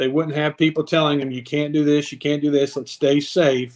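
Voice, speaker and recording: Using a normal speaking voice, a man talks at a fairly quick pace with a fairly high pitch and fairly even intonation. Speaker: stadium public address announcer. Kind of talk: casual podcast guest conversation.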